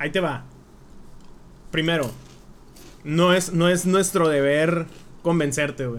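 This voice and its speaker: A man talks fairly slowly at a fairly high pitch with ordinary pitch variation and long, frequent pauses, and audible room echo surrounds his voice. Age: 20s. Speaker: podcast guest. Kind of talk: casual chat.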